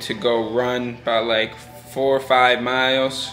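Faint music plays in the background while a man speaks with fairly even intonation. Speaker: amateur boxer vlogger. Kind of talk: casual vlog chat. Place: home room. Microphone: phone near.

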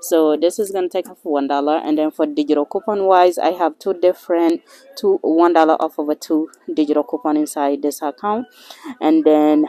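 A woman speaks with a very deep, low pitch and fairly even intonation. The sound is dry, with no echo. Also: moderate pace. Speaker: couponing vlogger. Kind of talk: casual vlog chat. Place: shop. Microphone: phone near.

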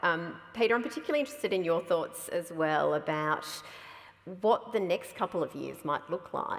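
A woman with an Australian accent, at a moderate pace. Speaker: event moderator, science organisation chief. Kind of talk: moderated public conversation. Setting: stage with audience. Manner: animated. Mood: warm, light humor. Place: hall.

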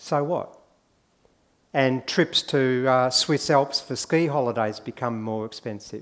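Speaking with an Australian accent, a man with a fairly high pitch talks at a fairly slow pace, his pitch varying in an ordinary way. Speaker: economist; conference speaker. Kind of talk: conference talk. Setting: stage with audience. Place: hall.

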